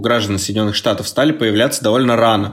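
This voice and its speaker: This man has a plain, everyday voice at medium pitch. His pitch variation is ordinary. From Chelyabinsk, Russia. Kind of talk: casual chat.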